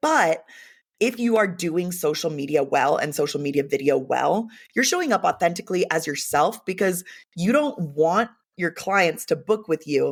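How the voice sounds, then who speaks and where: A woman's fairly low-pitched voice in an American accent, animated in tone and lively in intonation, on a very clean recording with a silent background. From Los Angeles area, US West Coast. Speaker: videographer and video confidence coach. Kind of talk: podcast interview. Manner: loud; animated, expressive.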